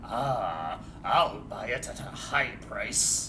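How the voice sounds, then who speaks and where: A man in a put-on character voice, at a very slow pace, over loud background noise. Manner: imitating a game vendor.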